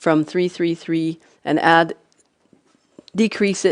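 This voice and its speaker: With a Canadian accent, a woman mumbles in a fairly low pitch. Her intonation is monotone and flat, and her pace is fairly slow. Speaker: city councillor. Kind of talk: council meeting debate. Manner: mumbling.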